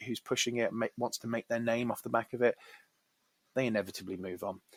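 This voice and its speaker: A man at medium pitch and very fast pace, monotone and flat, in a dry, close sound with no echo. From Birmingham, England. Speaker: podcast host. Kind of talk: casual interview chat.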